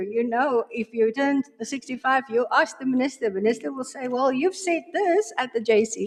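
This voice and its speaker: A woman speaks at a moderate pace in a high voice. Noticeable background noise runs behind her. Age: 60s. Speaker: judge. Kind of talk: job interview. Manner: halting.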